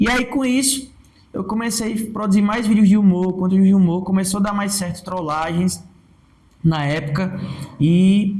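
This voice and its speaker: Talking at a moderate pace, a man with a high pitch and ordinary pitch variation is heard with audible room echo. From Brazilian Northeast. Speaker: comedian and digital influencer. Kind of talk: podcast interview.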